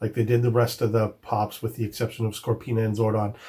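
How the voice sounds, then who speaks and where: A man's somewhat breathy, dark, mellow voice at medium pitch, on a very clean recording with a silent background. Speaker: toy collecting youtuber. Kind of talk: product review. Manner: casual with filler words.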